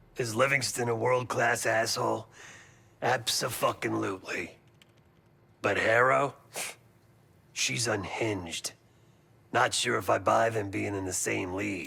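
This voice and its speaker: A man's raspy, put-on character voice at medium pitch, broken by long, frequent pauses. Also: moderate pace. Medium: video game. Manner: clipped, sardonic.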